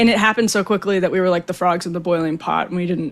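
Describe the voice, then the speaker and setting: This woman has an unremarkable speaking voice and an American accent. Her pitch is fairly low and her intonation fairly even. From Wisconsin, US Midwest. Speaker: political podcast host. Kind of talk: casual chat.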